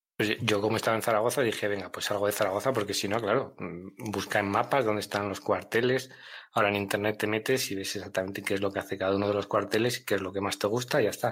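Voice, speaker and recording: Very fast and monotone, with flat intonation, a man with a fairly low voice is heard in a very clean recording with a silent background. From Castile, northern Spain (Miranda de Ebro). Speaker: army veteran. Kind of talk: testimony.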